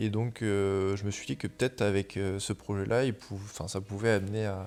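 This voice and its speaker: This man speaks at a moderate pace. His pitch is fairly low and his intonation fairly even. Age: 20s. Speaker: surfer and photographer. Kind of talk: interview. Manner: hesitant, many fillers.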